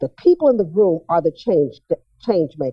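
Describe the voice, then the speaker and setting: The voice has an American accent and very wide pitch swings. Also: woman. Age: 70s. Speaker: retired school principal. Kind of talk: public testimony speech. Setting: auditorium stage with audience.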